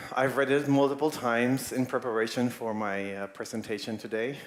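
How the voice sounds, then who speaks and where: At a moderate pace, a man talks at medium pitch in a normal speaking voice. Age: 40s. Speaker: animator and UX designer. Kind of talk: conference talk. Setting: stage with audience.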